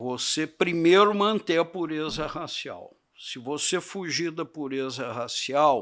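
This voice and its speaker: At a very slow pace, a man with a fairly high voice speaks with ordinary pitch variation in a very clean recording with a silent background. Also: big swings in loudness. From Brazil, São Paulo state (Barretos, then São Paulo city). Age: 70s. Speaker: cattle breeder. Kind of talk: podcast interview.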